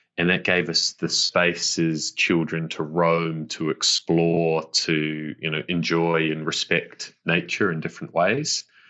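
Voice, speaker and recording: A man with a New Zealand accent speaks at a very slow pace in a very deep, low voice, his intonation monotone and flat, with hardly any pauses. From New Zealand, West Auckland. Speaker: business executive. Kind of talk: podcast interview. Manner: halting, repeats words.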